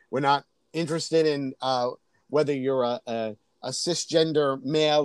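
In an ordinary speaking voice, a man with an American accent talks fairly slowly at a fairly high pitch, his intonation fairly even, the sound dry and close with no echo. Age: 50s. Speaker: drag queen. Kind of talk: casual chat.

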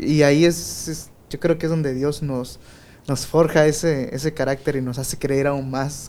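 At a fairly slow pace and with fairly even intonation, the speech plays over noticeable background noise. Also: man, fairly high pitch for a man. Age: 20s. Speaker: podcast host. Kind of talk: casual chat.

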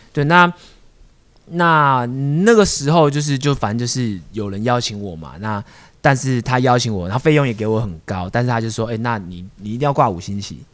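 An ordinary speaking voice at a fairly quick pace, with lively intonation and big swings in loudness, in a very clean recording with a silent background. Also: man, medium pitch for a man. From Taiwan (Taipei). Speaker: street dance crew founder. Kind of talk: casual chat.

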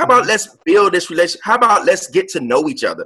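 In a raised, projected voice, a man speaks at a high pitch with a bright, sharp tone and very wide pitch swings. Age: 30s. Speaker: real estate investor. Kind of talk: casual interview.

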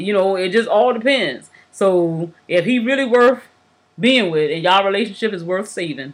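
A woman with a plain, everyday voice, lively intonation, and a moderate pace. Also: medium pitch for a woman. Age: 30s. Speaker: podcast co-host. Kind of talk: casual chat.

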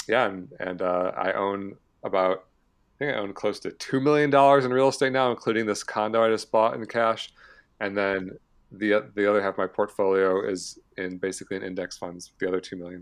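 With an American accent, a man in an unremarkable speaking voice talks at a fairly quick pace and fairly low pitch, with ordinary pitch variation and a quiet background. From Michigan, US Midwest. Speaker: personal finance influencer, early retiree. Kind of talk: casual interview.

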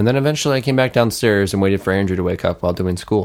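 This man's voice sits fairly low. His pitch varies in an ordinary way. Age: young. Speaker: podcast co-host. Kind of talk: casual chat.

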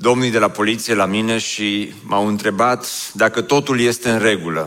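Fairly slow, medium-pitched male speech with ordinary pitch variation. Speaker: pastor. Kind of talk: sermon.

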